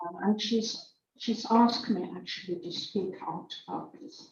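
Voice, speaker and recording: A woman speaks at a very slow pace with a South African accent. Her voice is somewhat breathy, with ordinary pitch variation. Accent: Afrikaans-accented English. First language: Afrikaans. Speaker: church member giving testimony. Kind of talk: testimony. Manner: halting.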